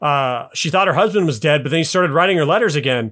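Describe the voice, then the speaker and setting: On a very clean recording with a silent background, a man with an American accent and a fairly high pitch speaks with lively intonation in a plain, everyday voice. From US, Utah (Salt Lake City). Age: 30s. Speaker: podcast guest, gamer. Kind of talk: casual chat.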